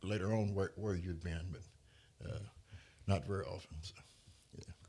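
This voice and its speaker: A fairly low-pitched man with a Louisiana accent, somewhat breathy, at a fairly slow pace with ordinary pitch variation, on a very clean recording with a silent background. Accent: US Southern (Louisiana). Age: 60s. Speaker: Marine veteran. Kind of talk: interview. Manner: halting, many repetitions and fillers.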